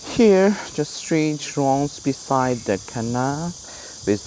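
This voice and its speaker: A man with a Chinese accent, very wide pitch swings and a very slow pace, over noticeable background noise. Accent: Chinese-accented English, imperfect. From China. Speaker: travel vlogger. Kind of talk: walking tour vlog. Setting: outdoors on a street. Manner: halting, many fillers and repeats.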